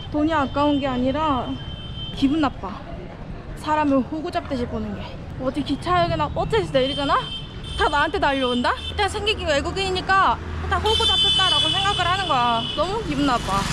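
A raised, projected voice moves at a fairly quick pace with very wide pitch swings, dry with no echo, over noticeable background noise. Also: woman. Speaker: solo traveler vlogger. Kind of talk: casual vlog chat. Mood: annoyed, feeling ripped off. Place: street. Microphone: phone near.

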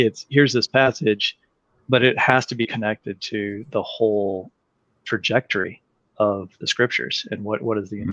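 A man with an American accent speaks in an unremarkable speaking voice, fairly low in pitch, with fairly even intonation. The sound is dry with no echo over a quiet background. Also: moderate pace. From US, Colorado. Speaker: biology professor. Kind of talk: interview. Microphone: video call.

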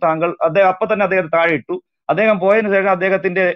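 A man speaks with a high pitch. The sound is dry, with no echo, and the background is quiet. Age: young. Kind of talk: online panel discussion. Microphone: phone near.

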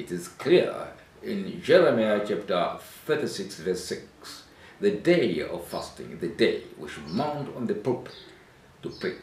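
Speaking at a very slow pace, a man swings widely in loudness. Room echo is audible around him. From Tanzania. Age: 70s. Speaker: bishop and ministry leader; church minister. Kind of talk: interpreted religious teaching. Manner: halting. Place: home room. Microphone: camera far.

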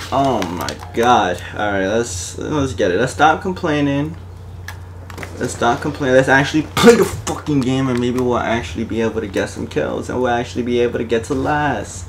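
A man's medium-pitched voice, animated in tone, with lively intonation at a moderate pace over noticeable background noise. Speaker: gaming YouTuber. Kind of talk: live gameplay commentary with an angry rant. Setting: home recording while gaming on console. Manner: animated, ranting, frustrated, swearing, on the verge of rage quitting; excitable, hyped, slangy.

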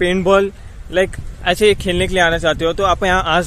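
Over light background noise, a man speaks at a moderate pace and high pitch, the sound dry with no echo. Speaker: vlogger. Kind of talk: casual vlog chat. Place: open country. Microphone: phone near.

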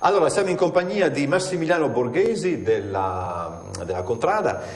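There is audible room echo and light background noise. A man speaks at a moderate pace. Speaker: TV news presenter. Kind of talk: TV interview questions. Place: studio. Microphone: lapel.

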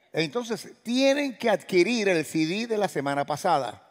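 Against a quiet background, a man with a Cuban accent talks at a fairly slow pace with lively intonation. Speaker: pastor. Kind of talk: sermon. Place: church. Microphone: headset.

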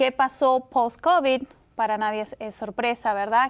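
With fairly even intonation, a woman talks in a plain, everyday voice. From Peru. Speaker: real estate agent; guest. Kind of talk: interview. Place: studio.

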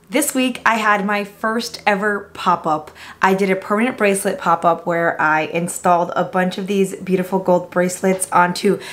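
Moderate pace with hardly any pauses and fairly even intonation. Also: woman. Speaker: food vlogger. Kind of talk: casual vlog chat. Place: home room. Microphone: camera far.

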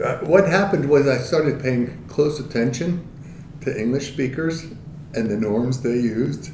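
A man with an American accent and a fairly high pitch, at a moderate pace with ordinary pitch variation, amid audible room echo and light background noise. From Philadelphia. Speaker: linguistics professor. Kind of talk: interview. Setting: in-person sit-down interview. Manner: animated. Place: meeting room.

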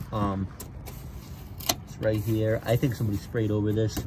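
A man speaks at a moderate pace in a fairly low voice, with noticeable background noise behind him. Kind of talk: casual vehicle walk-around commentary. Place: open country. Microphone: phone near.

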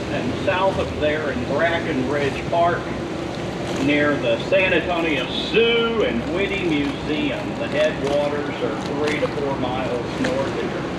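Over loud background noise, a man speaks at a very slow pace with ordinary pitch variation. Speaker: boat tour guide. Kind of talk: tour narration. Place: boat.

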